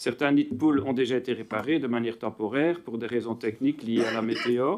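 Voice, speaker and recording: The speaker is a man with a medium pitch. He goes at a moderate pace. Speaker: municipal councillor. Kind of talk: formal question read aloud. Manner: loud.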